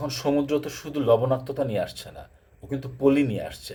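A man with a fairly high pitch and a dark, mellow tone sounds somewhat breathy, his pitch varying in an ordinary way. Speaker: YouTuber discussing water issues. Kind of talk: informal explainer talk.

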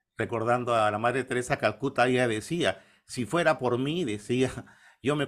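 Over a quiet background, a man speaks at a medium pitch and moderate pace with ordinary pitch variation. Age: 50s. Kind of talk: interview. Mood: calm, devout. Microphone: webcam.

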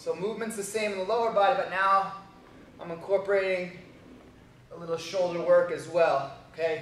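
Against light background noise and audible room echo, a man talks at a fairly quick pace with fairly even intonation. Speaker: fitness trainer. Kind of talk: tutorial. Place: gym.

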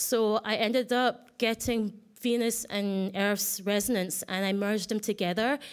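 Against a quiet background, a woman speaks in a fairly high pitch with fairly even intonation. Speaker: artist giving a conference talk; conference presenter. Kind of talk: conference presentation. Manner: fast; halting, many restarts. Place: hall.

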